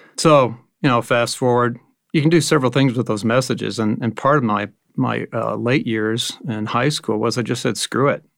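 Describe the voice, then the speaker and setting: With vocal fry and fairly even intonation, a man speaks at a moderate pace on a very clean recording with a silent background. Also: medium pitch for a man. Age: 50s. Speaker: ministry retreat facilitator and businessman. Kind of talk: personal testimony. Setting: studio.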